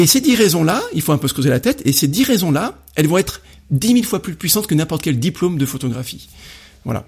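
Talking at a very fast pace, a man uses a high pitch. His pitch swings are very wide. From France, Rouen area. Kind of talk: casual interview. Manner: hesitant, many fillers.

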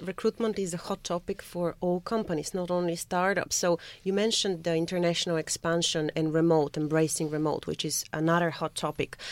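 Talking at a fairly quick pace with hardly any pauses, a woman with a plain, everyday voice speaks at a fairly low pitch with ordinary pitch variation. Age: 30s. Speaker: guest co-host. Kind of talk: radio interview. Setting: radio studio.

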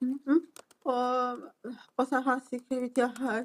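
A woman is speaking. Her voice is high in pitch. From Turkey. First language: Turkish (speaking Swedish). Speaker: defendant. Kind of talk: court testimony. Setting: courtroom.

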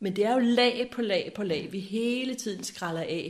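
The woman's voice is fairly high and somewhat breathy. She speaks at a fairly slow pace. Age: 60s. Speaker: spiritual seeker sharing her life story. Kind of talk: reflective interview conversation. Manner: halting with many hesitations.

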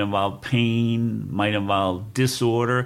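A man with a medium-pitched voice and an American accent speaks on a very clean recording with a silent background. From New York City. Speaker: retired law professor and poet. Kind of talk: casual interview. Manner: hesitant with frequent fillers.

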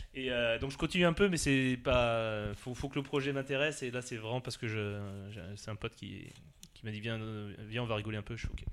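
A man at a moderate pace, medium in pitch, with ordinary pitch variation and an ordinary speaking voice. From Alsace, France. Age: 40s. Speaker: party organizer and entrepreneur. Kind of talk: casual interview.

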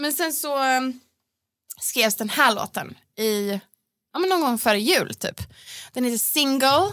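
A woman's high, bright and sharp voice with lively intonation, a fairly slow pace, and long, frequent pauses. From Sweden, Gothenburg. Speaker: pop singer. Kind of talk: casual chat. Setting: studio.

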